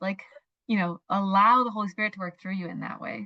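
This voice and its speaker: A woman's medium-pitched voice with ordinary pitch variation, in a dry, close sound with no echo. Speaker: mindset coach. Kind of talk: interview. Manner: fast; animated.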